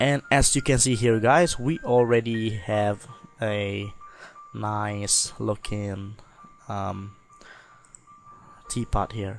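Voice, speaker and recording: Music plays in the background as a voice with a non-native accent moves very slowly with fairly even intonation. Long pauses come often. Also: man. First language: not English. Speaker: software tutorial creator. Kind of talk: tutorial. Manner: hesitant, many fillers.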